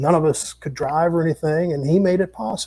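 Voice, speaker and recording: A man's fairly quick American-accented voice, high-pitched for a man, with a dark, mellow tone. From Minnesota. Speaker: musician and entertainer. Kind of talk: casual interview chat.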